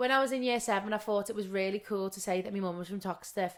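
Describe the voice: A woman with a Liverpool accent talks at a very fast pace in a medium pitch, keeping her intonation fairly even.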